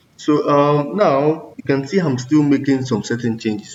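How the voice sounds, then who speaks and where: The pitch variation here is ordinary. An unremarkable speaking voice keeps to a moderate pace. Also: man. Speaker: coding tutorial creator. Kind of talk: tutorial.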